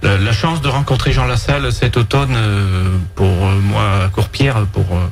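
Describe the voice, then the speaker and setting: A man's fairly low voice with very wide pitch swings and very even loudness, fairly slow yet with hardly any pauses, amid noticeable background noise and audible room echo. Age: 50s. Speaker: farmer and parliamentary candidate. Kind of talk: radio interview. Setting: radio studio. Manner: hesitant, many fillers. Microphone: too far from the mic.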